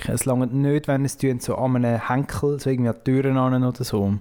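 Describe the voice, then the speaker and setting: A man in a Swiss accent, dark, mellow tone, fairly even intonation and moderate pace. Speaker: podcast co-host and poetry slam moderator. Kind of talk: casual chat.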